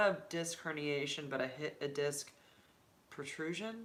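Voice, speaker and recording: Her pitch is very deep and low, and she keeps a moderate pace. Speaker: YouTuber and HIV advocate. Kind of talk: casual livestream chat. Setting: home livestream with laptop. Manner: animated.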